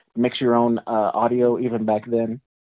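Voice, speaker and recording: A man talks at a fairly slow pace in a medium pitch. His is an unremarkable speaking voice. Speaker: podcast host. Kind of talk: interview.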